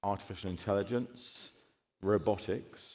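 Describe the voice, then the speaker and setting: A man with a British accent talks at a moderate pace, his fairly low pitch held in fairly even intonation. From Britain. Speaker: keynote speaker. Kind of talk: keynote speech. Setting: stage with audience.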